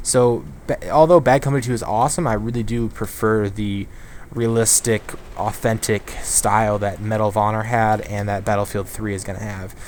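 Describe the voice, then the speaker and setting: A man's fairly low-pitched voice over noticeable background noise. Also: ordinary pitch variation, moderate pace. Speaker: gaming youtuber. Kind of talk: live gameplay commentary. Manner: halting, many fillers; distracted while playing.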